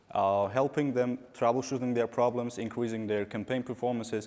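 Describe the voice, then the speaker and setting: With an Azerbaijani accent, a man talks at a moderate pace. His medium pitch follows fairly even intonation. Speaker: digital marketing consultant. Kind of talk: conference talk.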